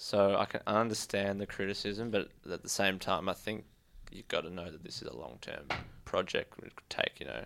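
Using an Australian accent, a man speaks at a moderate pace in a fairly low voice with vocal fry, ordinary pitch variation and big swings in loudness. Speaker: podcast co-host, footy fan. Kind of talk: casual banter. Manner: joking, teasing.

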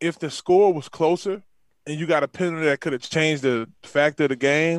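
With a New Orleans accent, a man speaks at a fairly high pitch and moderate pace with ordinary pitch variation, the sound dry and close with no echo over a quiet background. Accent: Southern US (New Orleans). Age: 30s. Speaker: former NFL player and football coach. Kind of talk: casual chat. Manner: animated.

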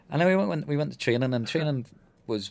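This man's pitch has very wide swings. He speaks very fast. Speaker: former footballer. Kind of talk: radio interview.

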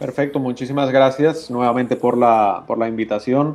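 His intonation stays fairly even. He is a man with a medium-pitched voice. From Spain, Valencia. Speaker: trade chamber president. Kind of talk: interview. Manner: halting.

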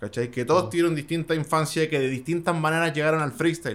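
A man with a Chilean accent, fairly high in pitch, talking very fast. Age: 30s. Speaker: beatmaker and DJ. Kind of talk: casual interview.

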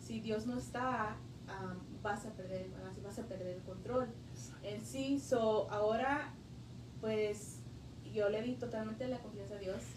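A woman speaks at a very slow pace with long, frequent pauses. Noticeable background noise and audible room echo are present. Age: 20s. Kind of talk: testimony. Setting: parish library radio studio. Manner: halting with many fillers.

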